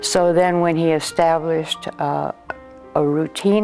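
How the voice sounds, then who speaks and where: A woman with an American accent, a very deep, low pitch and fairly even intonation, at a fairly slow pace with music in the background. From San Diego, California. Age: 80s+. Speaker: former singer and devotee. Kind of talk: interview answer. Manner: reminiscing, hesitant.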